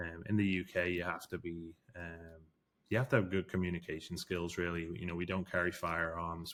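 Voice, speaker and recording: Very deep and low in pitch, a man talks at a moderate pace on a very clean recording with a silent background. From England/UK. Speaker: forensic investigator. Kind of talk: interview. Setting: studio. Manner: hesitant, many fillers.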